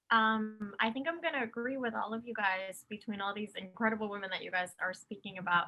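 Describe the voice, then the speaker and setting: A woman with a Spanish accent, fairly high pitch, ordinary pitch variation and a fairly quick pace. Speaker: actress. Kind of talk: panel conversation.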